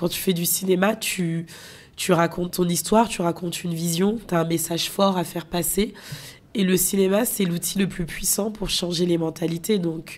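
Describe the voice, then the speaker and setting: A woman with a plain, everyday voice talks at a moderate pace, her pitch fairly low and her intonation fairly even. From France, of Guinean parents. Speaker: filmmaker. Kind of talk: interview.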